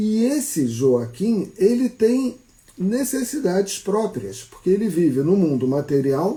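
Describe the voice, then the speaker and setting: With a Brazilian accent, a man speaks fairly slowly in a high, dark, mellow voice whose pitch swings very widely. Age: 60s. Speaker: psychologist. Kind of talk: casual talk on a live stream. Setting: live stream.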